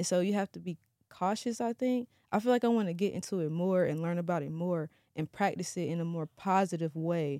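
In a very clean recording with a silent background and a dry, close sound with no echo, a woman with an American accent speaks at a fairly quick pace in a fairly low pitch with ordinary pitch variation and a dark, mellow tone. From North Carolina small town. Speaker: music blogger and festival organizer. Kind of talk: casual chat.

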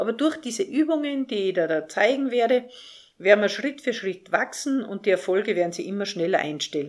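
On a very clean recording with a silent background, a woman talks at a moderate pace. Her pitch swings very widely. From Austria, Salzburg. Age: 50s. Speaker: life coach and podcast host. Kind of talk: podcast monologue.

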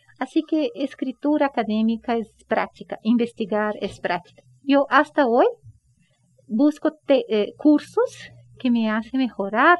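A woman's fairly high voice in a Brazilian accent, lively in intonation and moderate in pace. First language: Portuguese (speaking Spanish). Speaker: professor and researcher. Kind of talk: interview.

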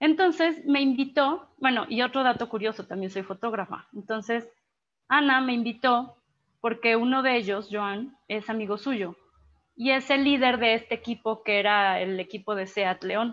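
A woman in a normal speaking voice at a moderate pace with ordinary pitch variation, against a quiet background. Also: fairly high pitch for a woman. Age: 20s. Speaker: life coaching enthusiast and photographer. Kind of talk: online talk on personal development.

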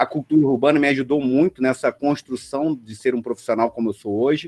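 A man's voice in a very clean recording with a silent background, dry and close with no echo. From Rio de Janeiro suburbs, Brazil. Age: 40s. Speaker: designer and innovation leader. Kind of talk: casual chat. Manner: animated.

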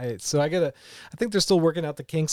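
This man's voice is pitched fairly high. He talks very fast. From West Virginia (Charleston). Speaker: relocated remote worker. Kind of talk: casual interview. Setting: outdoors at a park.

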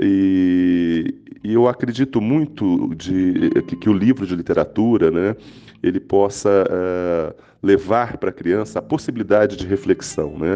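Here a man speaks at a fairly slow pace. His pitch sits fairly low, with ordinary variation. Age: 50s. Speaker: children's author. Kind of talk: interview. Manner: halting.

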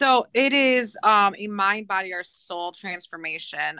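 Against a quiet background, a woman with an American accent speaks in a bright, sharp tone with ordinary pitch variation, the sound dry and close with no echo. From Michigan, between Flint and Saginaw. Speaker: teacher and fitness transformation competitor. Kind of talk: casual interview.

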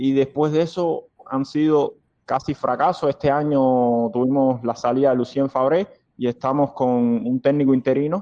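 This man's fairly high voice moves at a moderate pace with very even loudness and fairly even intonation, recorded dry and close with no echo. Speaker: football fan club vice president. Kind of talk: interview. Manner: hesitant, many fillers.

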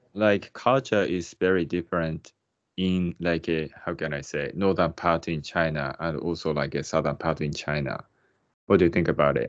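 This man's voice sits very deep and low. He speaks with a Japanese accent. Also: ordinary pitch variation, moderate pace. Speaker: podcast host. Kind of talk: casual interview. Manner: hesitant, searching for words.

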